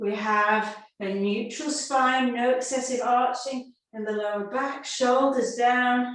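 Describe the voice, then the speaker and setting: With audible room echo, a woman with a high voice talks very slowly, with fairly even intonation and hardly any pauses. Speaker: yoga and pilates instructor. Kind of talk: fitness class instruction. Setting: video call.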